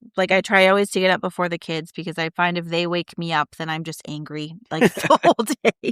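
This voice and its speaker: A woman with a plain, everyday voice speaks at medium pitch and a moderate pace. The sound is dry and close with no echo, on a very clean recording with a silent background. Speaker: mother and school co-founder. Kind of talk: conversational podcast talk.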